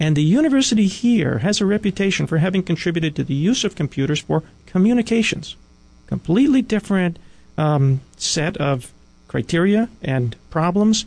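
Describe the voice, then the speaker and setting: Against a quiet background, a man with an American accent speaks at a moderate pace and a high pitch, his intonation lively and his loudness very even. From US mainland. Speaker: venture capitalist and tech entrepreneur. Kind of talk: interview. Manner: halting, many fillers.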